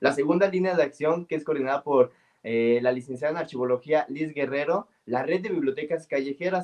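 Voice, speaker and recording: A man speaks with a normal speaking voice. His pitch is fairly high, with ordinary pitch variation, at a moderate pace. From Mexico, San Luis Potosí. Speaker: librarian and storyteller. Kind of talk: interview.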